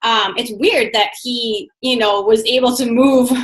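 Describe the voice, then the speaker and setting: This woman has a high pitch and fairly even intonation. She speaks at a very slow pace. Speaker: online fitness coach. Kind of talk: casual chat.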